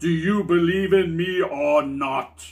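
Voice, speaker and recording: A put-on character voice carries this clip. Its delivery moves at a fairly slow pace. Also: man. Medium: read story. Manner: slow, solemn.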